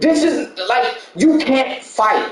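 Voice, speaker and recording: A man at a very slow pace, with noticeable background noise and audible room echo. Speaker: gaming channel host and discussion host. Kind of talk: casual chat. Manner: animated; loud.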